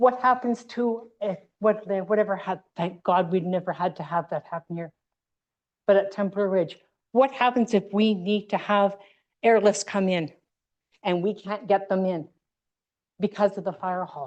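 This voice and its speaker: Against a quiet background, a woman with a Western Canadian accent speaks at a moderate pace and medium pitch, with ordinary pitch variation and long, frequent pauses. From Canada, British Columbia (Fernie). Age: 60s. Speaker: local resident speaking at public hearing. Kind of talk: public comment at council hearing. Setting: council chamber public hearing. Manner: animated, indignant.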